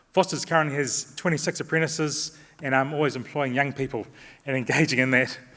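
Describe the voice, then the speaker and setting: Speaking at a very fast pace, a man with a New Zealand accent has a bright, sharp tone and fairly high pitch. His intonation stays fairly even. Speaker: construction company director. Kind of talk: conference talk.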